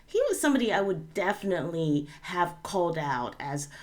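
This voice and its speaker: The woman's voice sits fairly low in pitch. Audible room echo surrounds it. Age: 40s. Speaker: YouTube commentator. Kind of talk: casual commentary.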